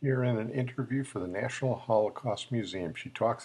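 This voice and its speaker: Speaking at a fairly quick pace, a man has an ordinary speaking voice. His pitch is medium, with ordinary variation. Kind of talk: history show narration.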